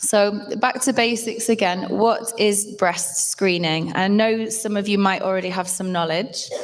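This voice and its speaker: At a fairly slow pace, a woman with a northern English accent speaks at a medium pitch with ordinary pitch variation. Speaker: health awareness workshop presenter. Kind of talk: presentation to live audience. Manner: hesitant, many fillers.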